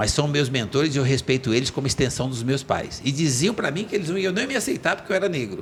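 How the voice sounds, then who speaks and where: A man talks at a very fast pace, his medium-pitched voice full of lively intonation. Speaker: entrepreneur. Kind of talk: podcast interview, life story. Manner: animated.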